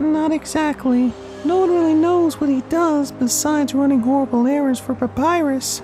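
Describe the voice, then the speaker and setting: A high-pitched, put-on character voice moves at a moderate pace while clear music plays in the background. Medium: audio drama.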